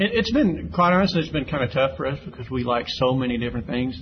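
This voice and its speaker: Audible echo from the room and noticeable background noise are present. The delivery has lively intonation. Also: man. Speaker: gospel singer. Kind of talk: interview.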